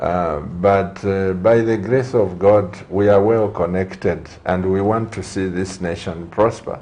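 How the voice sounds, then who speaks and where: Speaking at a fairly slow pace with hardly any pauses and fairly even intonation, this voice comes through noticeable background noise and audible room echo. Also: man, fairly low pitch for a man. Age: 60s. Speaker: TV talk show host and pastor. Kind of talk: TV studio interview. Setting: TV studio.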